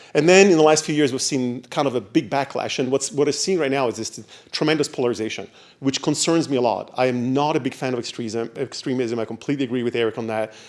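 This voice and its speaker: A man speaks at a very fast pace in an Italian accent, his pitch medium with ordinary variation. The recording is very clean, with a silent background. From Italy. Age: 60s. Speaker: diversity consultant and former professor. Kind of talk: panel presentation.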